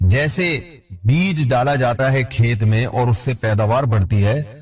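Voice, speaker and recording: A man's voice sits at medium pitch with a somewhat breathy quality. His intonation is lively. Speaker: Islamic scholar giving a sermon. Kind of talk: Islamic sermon (bayan) lecture.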